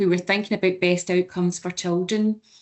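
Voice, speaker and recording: A woman in a Glasgow accent, flat and monotone throughout. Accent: Scottish (Glasgow). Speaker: senior children's services manager. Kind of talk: webinar panel talk.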